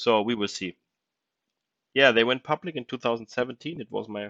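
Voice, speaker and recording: Heard over a quiet background, a man with a non-native accent speaks in a bright, sharp tone. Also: dry, close sound with no echo. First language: not English. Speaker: crypto investing YouTuber. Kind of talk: casual screen-share tutorial. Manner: halting, many fillers.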